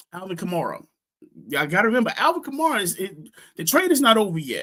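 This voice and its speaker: Using a raised, projected voice, a man speaks at a very fast pace with lively intonation. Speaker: fantasy football podcast host. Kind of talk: casual chat. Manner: halting, many fillers.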